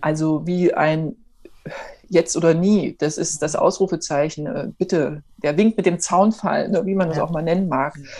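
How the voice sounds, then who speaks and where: Fairly slow speech with ordinary pitch variation. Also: woman, fairly low pitch for a woman. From eastern Germany, Erfurt. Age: 40s. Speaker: entrepreneur, network marketer. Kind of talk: interview. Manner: animated.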